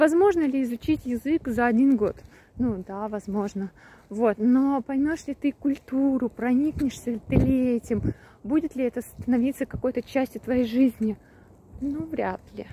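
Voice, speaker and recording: Speech moves at a fairly slow pace with ordinary pitch variation. The sound is dry with no echo, over light background noise. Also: woman, high pitch for a woman. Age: 30s. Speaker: travel vlogger; vlogger. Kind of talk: monologue vlog. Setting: outdoors, walking. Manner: casual, hesitant. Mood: reflective, thoughtful. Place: open country. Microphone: phone near.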